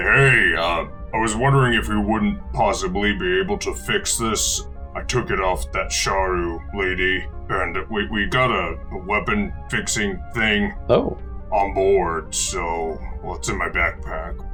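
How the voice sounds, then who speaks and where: Over clear background music, a man delivers a put-on character voice at a fairly slow pace. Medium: actual play. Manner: casual, blunt.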